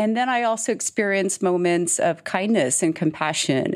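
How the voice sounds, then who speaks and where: A woman with an American accent has a normal speaking voice and ordinary pitch variation. She talks at a moderate pace in a very clean recording with a silent background. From Texas. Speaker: chief people officer. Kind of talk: interview.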